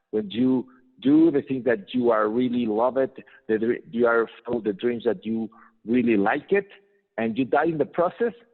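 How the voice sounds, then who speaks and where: A man speaks with a Spanish accent at a medium pitch. His pitch variation is ordinary and his pace moderate. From Mexico. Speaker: business trainer and entrepreneur. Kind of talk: interview. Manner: halting.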